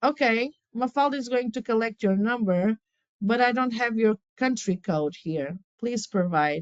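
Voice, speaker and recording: A woman with a Portuguese accent speaks fairly slowly at a fairly high pitch, with lively intonation. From Portugal. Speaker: relocation legal and property specialist. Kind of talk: live webinar presentation. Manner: animated; halting.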